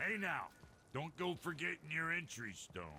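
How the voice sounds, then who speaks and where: A raspy, put-on character voice from a man at a fairly high pitch and moderate pace, over clear background noise. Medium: video game. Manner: blunt, colloquial.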